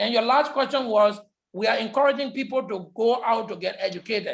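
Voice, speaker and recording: Loud and fairly quick, a man talks at an extremely high pitch with ordinary pitch variation. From Liberia. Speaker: public health lecturer. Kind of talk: lecture Q&A.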